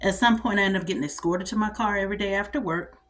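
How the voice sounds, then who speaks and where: A woman speaks very fast in a somewhat breathy, medium-pitched voice with an animated tone. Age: 40s. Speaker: vlogger, army veteran. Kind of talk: casual monologue vlog.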